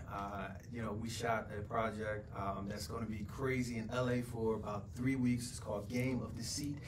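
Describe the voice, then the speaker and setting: Over noticeable background noise, a man at medium pitch talks with an American accent at a moderate pace, with fairly even intonation and hardly any pauses. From Philadelphia, US. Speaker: actor; actor interviewee. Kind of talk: casual interview. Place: studio.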